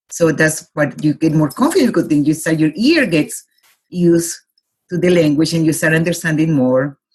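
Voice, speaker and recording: The speaker talks at a fairly quick pace. They have a Colombian accent. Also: woman. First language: Spanish. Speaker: life consultant. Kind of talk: interview. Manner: halting.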